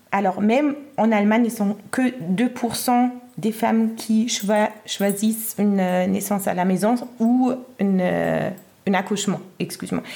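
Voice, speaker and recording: Against noticeable background noise, a woman with a German accent speaks fairly slowly with long, frequent pauses, fairly even intonation and very even loudness. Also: medium pitch for a woman. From Germany. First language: German (speaking French). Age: 30s. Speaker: midwife. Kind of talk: interview. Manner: halting, many fillers.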